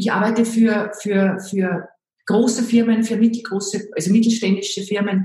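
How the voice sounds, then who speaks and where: At a moderate pace, a woman speaks at a medium pitch in a monotone, flat intonation. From Austria, Salzburg. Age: 50s. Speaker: image and style consultant. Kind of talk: interview.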